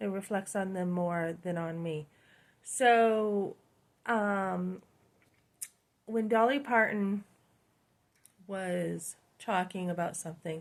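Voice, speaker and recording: A woman with a New England accent, medium-pitched with ordinary pitch variation, at a very slow pace with long, frequent pauses. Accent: New England accent, noticeable. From New Hampshire, US. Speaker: lifestyle YouTuber. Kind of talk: casual vlog monologue. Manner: conversational with many fillers.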